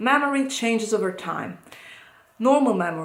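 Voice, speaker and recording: Amid noticeable background noise and audible room echo, a woman with an Italian accent speaks at a high pitch. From Italy. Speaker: psychologist. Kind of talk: educational talk to camera. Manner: hesitant, many fillers.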